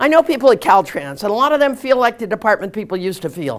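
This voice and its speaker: A woman's animated voice with vocal fry, in an American accent. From California. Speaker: politician. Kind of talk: campaign speech. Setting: meeting hall with audience.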